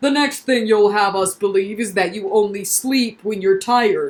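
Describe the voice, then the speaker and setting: A woman puts on a character voice, talking at a moderate pace with a medium pitch. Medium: read story. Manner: brisk, impatient.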